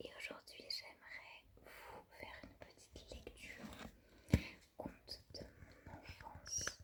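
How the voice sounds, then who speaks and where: Someone is whispering at a very slow pace. Long pauses come often. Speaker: ASMR storyteller. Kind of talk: casual talk to camera. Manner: whispered.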